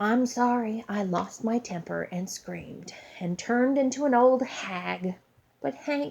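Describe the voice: Simple, plain reading out loud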